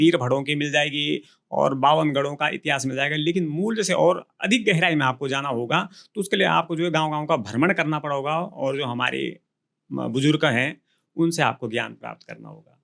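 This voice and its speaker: A man's fairly high voice with vocal fry, ordinary pitch variation and a moderate pace. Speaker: Garhwali folk singer and songwriter. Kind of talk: interview answer.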